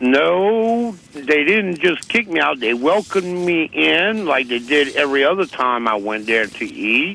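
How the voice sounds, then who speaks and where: With an American accent and a fairly high pitch, a man speaks at a fairly slow pace, his pitch swinging very widely and hardly any pauses breaking his speech. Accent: Cajun. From US South, Louisiana Cajun. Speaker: interviewee. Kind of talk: phone interview. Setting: phone call. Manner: slow, detailed storytelling.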